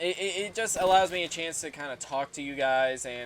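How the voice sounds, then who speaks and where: Lively intonation marks a man's fairly quick delivery. Noticeable background noise can be heard. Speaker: YouTuber, music reaction and gaming channel. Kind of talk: casual talk to camera over gameplay. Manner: halting, many fillers.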